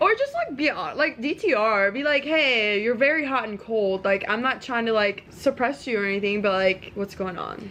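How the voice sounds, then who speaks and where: With lively intonation and hardly any pauses, a woman talks at a moderate pace in an ordinary speaking voice pitched fairly high. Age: 20s. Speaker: podcast host. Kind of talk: casual chat.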